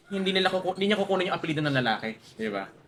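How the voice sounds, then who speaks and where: Through noticeable background noise, a high-pitched man speaks at a very fast pace with very wide pitch swings. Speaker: logistics businessman. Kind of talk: casual chat. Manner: fast, sometimes stammering.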